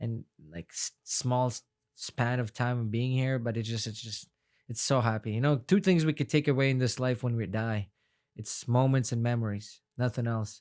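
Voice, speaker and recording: The man's medium-pitched voice moves at a moderate pace with ordinary pitch variation, recorded dry and close with no echo. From Afghanistan, then Canada from age 13. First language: Farsi. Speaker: MMA fighter. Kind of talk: podcast interview. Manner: casual, many fillers and restarts.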